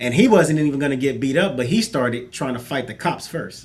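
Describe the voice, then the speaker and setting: With music in the background, a man talks at a fairly quick pace in a fairly high voice. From South Central Los Angeles. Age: 40s. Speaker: panelist. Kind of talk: casual chat.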